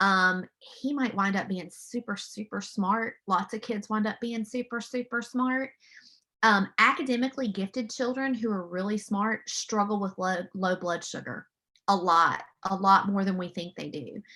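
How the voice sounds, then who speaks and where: The voice is loud with a bright, sharp tone, a moderate pace and ordinary pitch variation. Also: woman, medium pitch for a woman. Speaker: mental health counselor. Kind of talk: webinar presentation. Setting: video call. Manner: animated.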